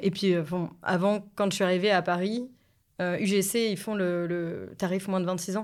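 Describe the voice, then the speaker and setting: In a very clean recording with a silent background, a woman speaks in a monotone, flat intonation. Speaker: podcast guest, film fan. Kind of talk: casual chat.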